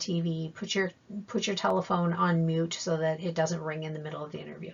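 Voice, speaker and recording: Her voice is somewhat breathy, and the woman keeps her intonation fairly even. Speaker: job-seeking skills trainer. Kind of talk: training presentation. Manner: fast.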